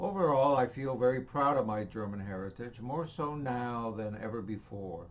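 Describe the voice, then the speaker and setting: Lively intonation runs through a man's medium-pitched voice, heard over noticeable background noise. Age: 70s. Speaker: retiree, choir member. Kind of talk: scripted personal statement.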